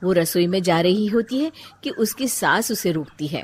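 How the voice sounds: Speaking at a moderate pace, a woman with a fairly low pitch and a slightly husky edge uses lively intonation.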